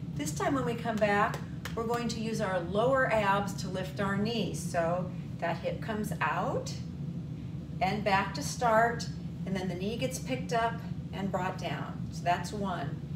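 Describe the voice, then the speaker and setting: Over loud background noise, a woman speaks at a fairly slow pace with ordinary pitch variation. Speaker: fitness instructor. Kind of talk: exercise class instruction. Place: home room. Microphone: camera far.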